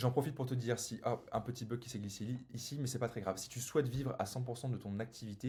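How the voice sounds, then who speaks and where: Very fast and somewhat breathy, a man speaks in a dark, mellow tone with fairly even intonation. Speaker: business coach for solopreneurs. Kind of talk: sales pitch; tutorial.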